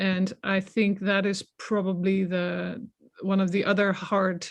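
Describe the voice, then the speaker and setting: Somewhat breathy and fairly slow, a woman speaks in a very clean recording with a silent background. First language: not English. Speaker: science policy researcher. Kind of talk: panel discussion. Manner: hesitant, many fillers and repetitions.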